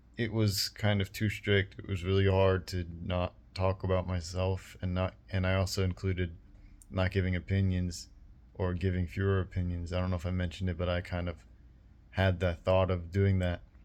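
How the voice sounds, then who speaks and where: His voice is very deep and low, and he keeps a moderate pace. The man's intonation stays flat and monotone. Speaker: YouTuber. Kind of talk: casual vlog monologue. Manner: flat, low-expression tone; slightly more expressive than usual.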